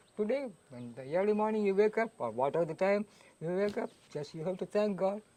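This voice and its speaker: A man with a dark, mellow tone and high pitch, lively intonation and a fairly quick pace. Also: big swings in loudness. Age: 70s. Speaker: recovering alcoholic, sadhu. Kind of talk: interview testimony.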